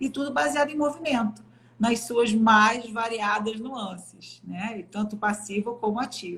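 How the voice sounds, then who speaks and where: A woman has a plain, everyday voice at a fairly high pitch. She speaks at a fairly slow pace. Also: ordinary pitch variation. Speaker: physiotherapist. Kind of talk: live stream interview. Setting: online live stream.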